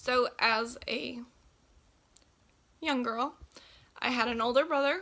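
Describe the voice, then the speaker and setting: A woman with a Texan accent speaks at a fairly slow pace in a high pitch, her bright, sharp tone set in monotone, flat intonation. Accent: Texan American English. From Texas, Belton. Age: 18. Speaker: nursing student. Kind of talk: class introduction speech.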